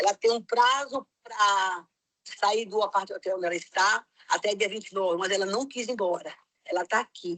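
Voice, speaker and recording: A woman with an unremarkable speaking voice talks at a moderate pace and medium pitch, her pitch varying in an ordinary way, in a dry, close sound with no echo. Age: 60s. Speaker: missionary. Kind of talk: testimony.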